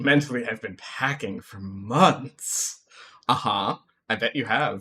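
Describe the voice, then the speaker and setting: With an American accent, a man speaks at medium pitch and a very slow pace. His pitch varies in an ordinary way. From United States. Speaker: video game streamer. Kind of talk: casual chat. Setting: live stream. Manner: halting, many fillers.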